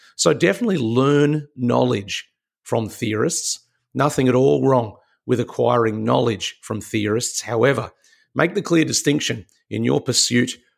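A man with an Australian accent talks at a moderate pace and a medium pitch. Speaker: leadership mentor and podcast host. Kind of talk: motivational talk.

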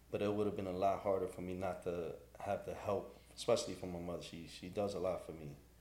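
A man talks at a very fast pace. The room gives back an audible echo. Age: 40s. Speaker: barber and business owner. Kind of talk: casual interview.

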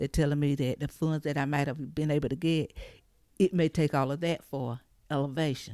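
In an eastern North Carolina accent, a woman speaks at a moderate pace with a very deep, low pitch and a dark, mellow tone, recorded dry and close with no echo on a very clean, silent background. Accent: Southern US, eastern North Carolina. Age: 60s. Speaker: flood survivor. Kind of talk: testimony.

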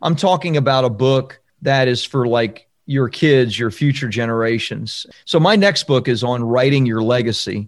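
A man with an American accent speaks at a moderate pace in a medium pitch, with ordinary pitch variation and hardly any pauses. It is an ordinary speaking voice, heard against a quiet background. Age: 50s. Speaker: book publishing coach and author. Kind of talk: podcast interview.

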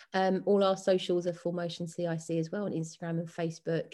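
Against a quiet background, a woman speaks with a southern English accent in a dark, mellow tone. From West London. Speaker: dance and fitness coach. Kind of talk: casual interview.

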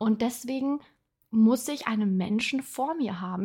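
A woman with a high pitch speaks at a fairly slow pace, with ordinary pitch variation. The recording is very clean, with a silent background. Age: 30s. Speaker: podcast host, personal development coach. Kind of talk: casual personal monologue. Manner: filler-heavy, halting.

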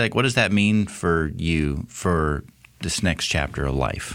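A man with a very deep, low pitch speaks at a moderate pace with lively intonation. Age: 30s. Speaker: podcast host. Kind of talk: casual interview.

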